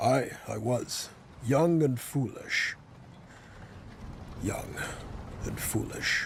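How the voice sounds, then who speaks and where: A raspy, put-on character voice moves at a very slow pace with long, frequent pauses and ordinary pitch variation over clear background noise. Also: man, medium pitch for a man. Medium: short film. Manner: measured, earnest.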